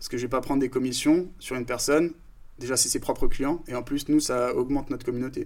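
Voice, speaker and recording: A man speaks very fast in a fairly high voice, his intonation fairly even. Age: 30s. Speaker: startup founder. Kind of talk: casual interview.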